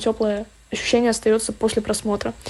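A woman delivers her words in a dark, mellow tone with a monotone, flat intonation. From Estonia. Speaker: podcast listener. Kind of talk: recorded voice message.

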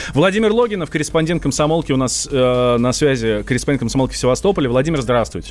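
Lively intonation marks this man's medium-pitched voice at very even loudness. He talks at a very fast pace with hardly any pauses. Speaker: radio host. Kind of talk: live radio talk show. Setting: studio.

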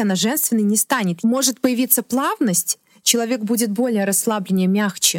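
With an unremarkable speaking voice, a woman talks at a fairly quick pace, pitched fairly high for a woman with ordinary pitch variation, in a dry, close sound with no echo. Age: 30s. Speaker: stylist. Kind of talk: podcast interview. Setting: studio.

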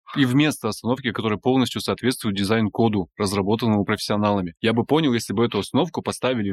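A man with a fairly low pitch and ordinary pitch variation has an unremarkable speaking voice. The sound is dry and close with no echo, in a very clean recording with a silent background. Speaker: podcast host, journalist. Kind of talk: casual interview conversation.

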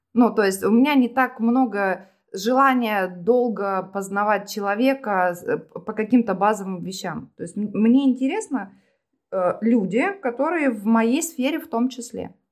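A woman with an unremarkable speaking voice talks at a fairly slow pace and fairly high pitch, with ordinary pitch variation, big swings in loudness and a very clean, silent background. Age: 40s. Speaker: self-described witch and psychologist. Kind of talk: casual chat.

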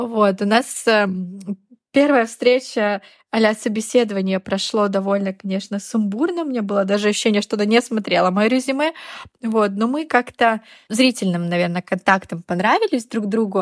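A woman with an unremarkable speaking voice talks at a moderate pace with a fairly high pitch and ordinary pitch variation. The sound is dry and close, with no echo. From Russia, Yamal. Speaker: fashion PR specialist. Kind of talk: casual interview.

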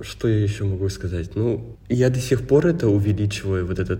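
Audible room echo and noticeable background noise surround a man whose pitch varies in an ordinary way. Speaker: podcast co-host. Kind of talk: casual chat.

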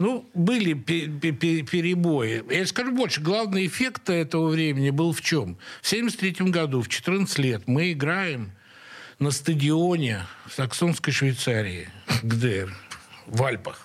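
The man's pitch is fairly high and swings very widely. He talks at a very slow pace. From Russia, St Petersburg (Leningrad). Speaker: rock guitarist and composer. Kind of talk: interview. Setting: radio studio.

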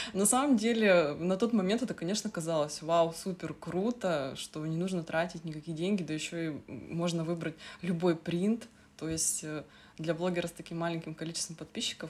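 A woman talks at a moderate pace and a fairly low pitch. Hers is a normal speaking voice. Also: ordinary pitch variation. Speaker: sewing blogger. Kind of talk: casual chat.

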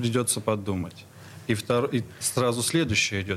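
A man with a normal speaking voice, fairly low pitch, ordinary pitch variation and a fairly slow pace. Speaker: stage director and acting teacher. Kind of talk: radio interview. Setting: studio. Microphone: too far from the mic at first.

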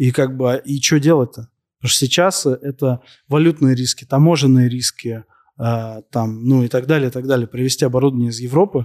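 In a normal speaking voice, a man at medium pitch talks at a fairly quick pace with fairly even intonation, the sound dry and close with no echo. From Moscow, Russia. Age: 30s. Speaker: entrepreneur in waste sorting. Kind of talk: interview on stage before audience.

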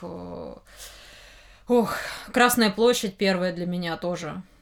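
Her medium-pitched voice keeps a fairly even intonation as this woman speaks. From Moscow. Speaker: comics publisher editor. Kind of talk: interview. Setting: studio. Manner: halting.

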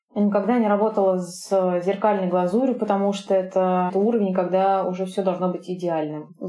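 A woman talks at a fairly quick pace in a flat, monotone intonation at medium pitch, with noticeable background noise behind her. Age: 30s. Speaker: pastry chef. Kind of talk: interview. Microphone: sound quality may be poor.

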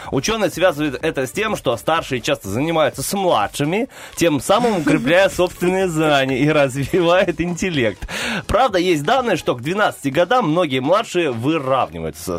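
Over noticeable background noise, a man with a fairly high voice speaks at a moderate pace in a playful tone, his pitch swinging very widely. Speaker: radio host. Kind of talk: casual banter on morning radio show. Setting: studio. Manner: playful, joking.

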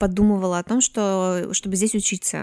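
Recorded very cleanly against a silent background, a woman at a medium pitch sounds dry and close with no echo. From Komi Republic, Russia (Syktyvkar). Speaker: podcast guest. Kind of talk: casual chat.

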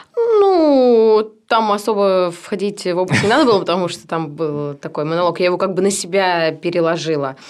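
An ordinary speaking voice, from a woman at medium pitch with ordinary pitch variation. She keeps a moderate pace with hardly any pauses. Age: 20s. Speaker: singer in a cover band, directing student. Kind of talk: casual interview chat.

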